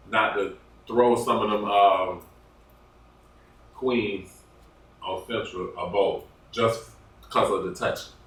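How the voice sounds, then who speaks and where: A man speaking at a very slow pace, with audible room echo and noticeable background noise. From US South, Georgia. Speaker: guest. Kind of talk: casual chat.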